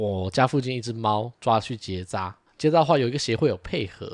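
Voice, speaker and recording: In a Taiwanese accent, a man talks at a fairly quick pace, his medium pitch showing ordinary variation. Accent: Taiwanese Mandarin. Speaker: podcast co-host. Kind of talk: casual chat. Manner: animated, frequent laughter.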